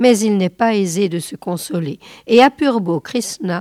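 The voice is a natural reading voice. Its pitch varies in an ordinary way.

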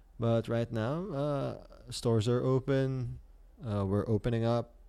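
With a dark, mellow tone, a man talks at a fairly low pitch and ordinary pitch variation. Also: very clean recording, silent background. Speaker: podcast host. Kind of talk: solo casual podcast talk. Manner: hesitant, many filler sounds.

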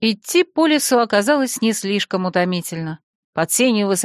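Someone does plain reading aloud with lively intonation. All is quiet in the background.

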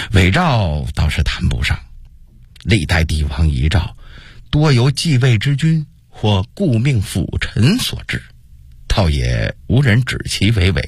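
In a put-on character voice, a man speaks slowly at a fairly low pitch, with big pitch swings and a slightly husky edge.

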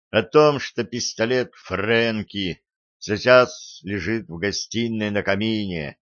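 Over a quiet background, the speaker uses an unforced reading voice with fairly even intonation.

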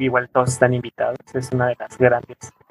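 This is a man talking. His voice has a medium pitch. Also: dry, close sound with no echo. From Oaxaca coast, Mexico (Pinotepa Nacional). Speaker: anthropologist and weaver. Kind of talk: interview. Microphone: poor audio from technical problems.

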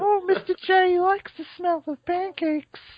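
Put-on character voice, squeaky and pitched extremely high. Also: moderate pace. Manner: playful.

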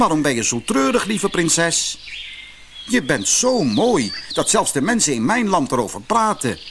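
Over faint background noise, a man puts on a character voice at a fairly high pitch, with a fairly bright tone, big pitch swings and a fairly slow pace.

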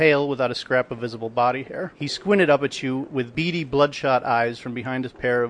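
Unforced voice reading a text

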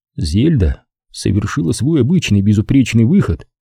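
Quiet background under an unforced reading voice

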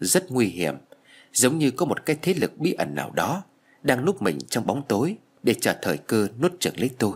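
The voice heard is a natural reading voice.

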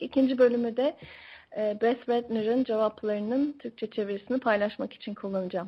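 Speaking very fast with a Turkish accent, a woman keeps her intonation fairly even. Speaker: radio host. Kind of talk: interview. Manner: hesitant with fillers.

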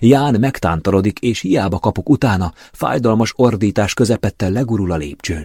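Lively intonation in a natural reading voice

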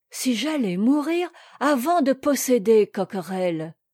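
A woman's put-on character voice, fairly high in pitch with big pitch swings, a dark, mellow tone and a slightly husky edge, at a fairly slow pace, in a dry, close sound with no echo and a very clean recording over a silent background.

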